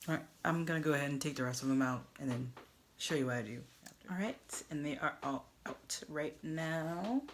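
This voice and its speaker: A soft-spoken woman with a very deep, low pitch, at a moderate pace and with ordinary pitch variation. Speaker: beauty vlogger. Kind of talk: tutorial. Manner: casual.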